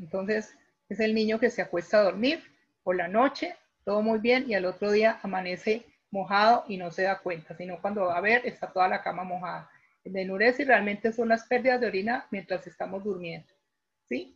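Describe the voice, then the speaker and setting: With ordinary pitch variation, a woman's medium-pitched voice moves at a moderate pace. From Colombia. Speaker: pediatric physiotherapist. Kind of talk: interview on a live online talk. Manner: halting with word repetitions.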